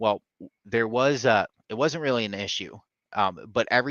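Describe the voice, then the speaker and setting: The man's voice sits fairly low, with ordinary pitch variation. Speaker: software company presenter. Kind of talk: live product update webinar. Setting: live stream. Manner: fast; casual with many fillers.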